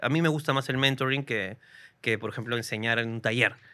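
A man's voice comes across with a bright, sharp tone and fairly even intonation. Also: very clean recording, silent background. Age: 30s. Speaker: comedian. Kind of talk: casual chat.

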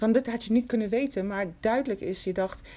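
A woman's fairly high-pitched voice with a dark, mellow tone, ordinary pitch variation and a moderate pace. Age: 50s. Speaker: podcast host. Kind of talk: interview.

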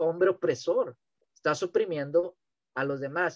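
Recorded with a dry, close sound and no echo, a man speaks at a moderate pace in a high voice with fairly even intonation. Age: 30s. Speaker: t-shirt printer and amateur religious podcaster. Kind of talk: casual interview about faith. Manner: halting, many repetitions.

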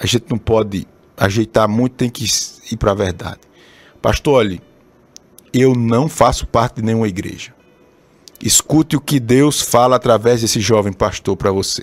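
Over background music, a man with a Brazilian accent talks at a moderate pace and medium pitch with ordinary pitch variation and long, frequent pauses, the sound dry and close with no echo. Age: 30s. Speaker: pastor. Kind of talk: sermon. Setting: live stream broadcast also on radio.

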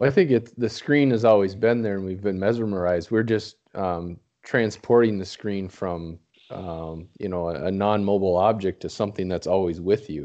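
A man with an ordinary speaking voice talks at a moderate pace, his fairly low pitch showing ordinary variation. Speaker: recurring guest and sidekick. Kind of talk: casual chat. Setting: video call over Skype.

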